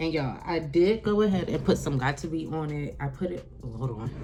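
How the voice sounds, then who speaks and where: A woman speaks at a moderate pace. Audible room echo and noticeable background noise surround her voice. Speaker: beauty vlogger. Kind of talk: casual vlog chat to camera. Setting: at home by an open window. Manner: loud; animated.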